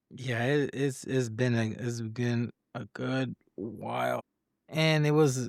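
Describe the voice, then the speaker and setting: The man's voice sits at a medium pitch. He talks at a very slow pace. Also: dry, close sound with no echo. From Puerto Rico. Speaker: podcast host. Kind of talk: casual interview chat.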